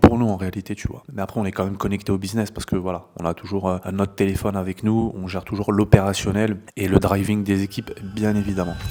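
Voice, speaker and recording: A man's fairly low voice at a very fast pace, flat and monotone. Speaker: e-commerce entrepreneur and business coach. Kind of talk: vlog narration. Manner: casual with many filler words; soft-spoken.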